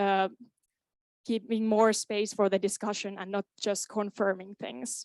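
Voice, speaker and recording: A woman with a Finnish accent speaks at a fairly slow pace in a medium pitch, with fairly even intonation and long, frequent pauses. The sound is dry and close with no echo, on a very clean recording with a silent background. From Finland, Kainuu. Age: 20s. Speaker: student board candidate. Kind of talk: candidate speech at meeting. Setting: student association meeting.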